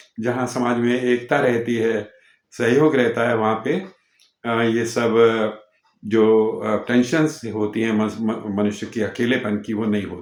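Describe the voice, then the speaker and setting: Fairly even intonation marks a man's speech at a medium pitch. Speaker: YouTube channel host. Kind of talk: casual talk to camera. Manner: hesitant, with filler sounds.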